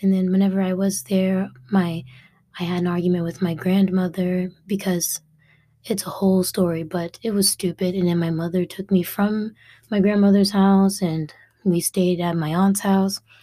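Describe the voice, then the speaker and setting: In a very clean recording with a silent background, a woman of medium pitch speaks at a moderate pace with fairly even intonation and a somewhat breathy, dark, mellow tone. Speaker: podcast host. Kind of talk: casual monologue.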